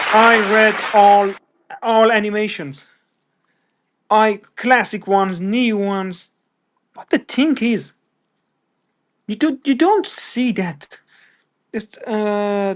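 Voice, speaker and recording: Speaking at a very slow pace with long, frequent pauses, a man with a high pitch shows ordinary pitch variation and big swings in loudness. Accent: non-native. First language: not English. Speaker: pop culture podcast guest. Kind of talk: casual chat. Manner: halting.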